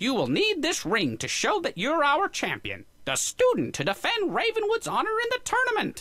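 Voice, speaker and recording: A put-on character voice at extremely high pitch, at a moderate pace with hardly any pauses. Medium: video game. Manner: formal, fussy.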